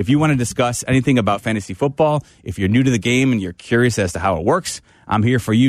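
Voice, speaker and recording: A man talks at a fairly quick pace in a plain, everyday voice, medium in pitch with ordinary pitch variation. The sound is dry and close with no echo, and the background is quiet. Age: 40s. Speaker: sports radio host. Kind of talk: radio talk show.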